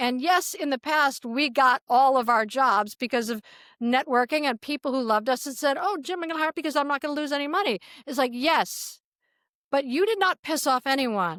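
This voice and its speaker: Speaking with an American accent, a woman talks at a fairly quick pace in a high voice with lively intonation. The sound is dry and close with no echo, a very clean recording, silent background. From Chicago, US Midwest. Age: 60s. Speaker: TV executive and author. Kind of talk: casual interview chat.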